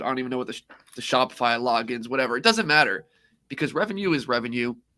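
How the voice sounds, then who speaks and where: Very fast speech comes from a man with a bright, sharp tone and ordinary pitch variation. The recording is very clean, with a silent background. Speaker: dropshipping entrepreneur and livestream host. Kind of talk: live stream. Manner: casual.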